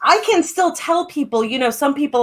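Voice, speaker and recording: A woman is speaking. Her pace is fairly quick. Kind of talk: casual chat. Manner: halting.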